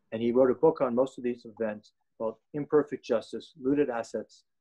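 In a plain, everyday voice, a man talks at a fairly quick pace with medium pitch and fairly even intonation. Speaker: event host. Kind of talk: formal introduction. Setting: video call.

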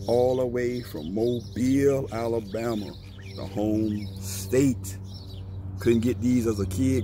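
A man speaks with fairly even intonation. The sound is dry with no echo, though background noise is noticeable. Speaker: sneaker reviewer. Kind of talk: casual review vlog chat. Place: street. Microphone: phone near.

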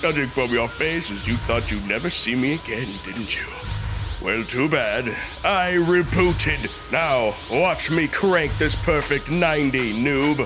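A man does a cartoonish character voice, pitched fairly high for a man and delivered at a fairly slow pace. Loud music plays behind him. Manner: smug, taunting.

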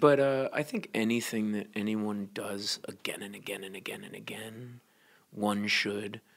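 An unremarkable speaking voice from a man with an American accent, fairly low in pitch, with ordinary pitch variation and a fairly slow pace. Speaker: folk singer. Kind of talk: casual chat. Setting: live at a festival.

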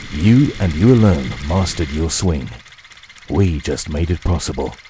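A man is speaking. His pitch swings very widely. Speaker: voice actor. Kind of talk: TV commercial read.

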